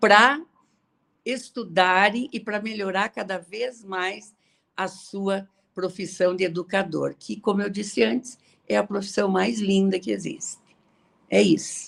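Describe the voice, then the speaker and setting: A woman speaks at a fairly slow pace with long, frequent pauses. Her medium-pitched voice shows vocal fry and ordinary pitch variation. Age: 70s. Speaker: retired teacher and author. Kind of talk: online interview. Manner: halting.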